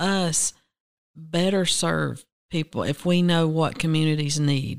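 A woman's very slow speech in a Southern US accent, fairly even in intonation, with a dry, close sound and no echo. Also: very even loudness. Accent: Southern US (Georgia). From US South, Rome, Georgia. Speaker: agency director, dietitian. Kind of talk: interview. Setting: studio.

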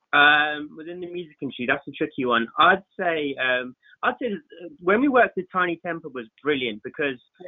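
With a London accent, a man talks at a fairly quick pace in a fairly high pitch, his loudness swinging widely. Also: lively intonation. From West London (Southall), England. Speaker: photographer. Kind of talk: podcast interview. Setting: podcast recording.

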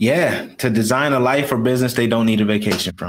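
A man with an American accent has an ordinary speaking voice and a fairly low pitch. His pace is moderate and his intonation fairly even. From Rochester, New York. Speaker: business coach and army veteran. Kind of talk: interview. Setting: live stream.

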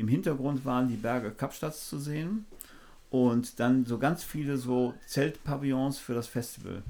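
A man's dark, mellow voice at medium pitch, moving at a fairly slow pace. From Germany, Düsseldorf. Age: 60s. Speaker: photographer and former drummer. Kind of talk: casual interview chat. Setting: outdoors by the sea.

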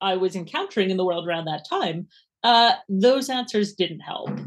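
With a slight Canadian accent, a woman talks at a moderate pace. Her intonation is lively. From Canada. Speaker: university lecturer in science and religion. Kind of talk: casual interview conversation. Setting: video call.

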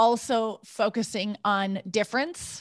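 A woman speaks with an American accent at a fairly high pitch. The background is quiet. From US Midwest, rural North Dakota. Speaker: intercultural coach. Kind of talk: interview.

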